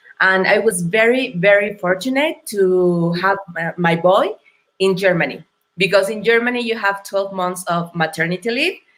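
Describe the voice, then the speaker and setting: A woman speaks in a Mexican accent at a moderate pace and a medium pitch. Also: ordinary pitch variation. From Mexico. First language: Spanish. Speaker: entrepreneur. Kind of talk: interview. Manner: halting.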